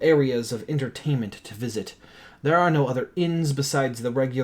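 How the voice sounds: In a natural reading voice, the speaker uses ordinary pitch variation.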